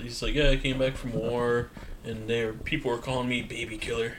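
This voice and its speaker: With an American accent and a medium pitch, a man speaks at a moderate pace over noticeable background noise. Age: 30s. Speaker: podcast co-host. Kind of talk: casual chat.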